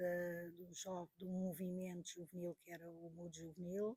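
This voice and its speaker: At a moderate pace, a somewhat breathy voice comes through with a dry, close sound and no echo. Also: woman. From Portugal, Porto region. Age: 60s. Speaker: teacher and witness of political history. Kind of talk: interview testimony.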